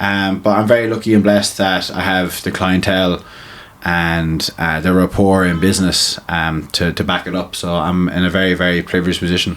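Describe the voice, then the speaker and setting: Over noticeable background noise, a man with a slight Limerick accent talks at a fairly quick pace in a very deep, low voice with monotone, flat intonation. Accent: Limerick Irish, slight. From Ireland, Limerick. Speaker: tattoo artist and crossover boxer. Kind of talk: podcast interview. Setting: tattoo studio.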